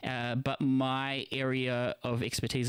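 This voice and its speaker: In a New Zealand accent, a man speaks with flat, monotone intonation on a very clean recording with a silent background and a dry, close sound with no echo. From New Zealand (from age 7, born in Philippines). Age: 40s. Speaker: internet radio host. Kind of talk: live stream monologue. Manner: casual, rambling with fillers.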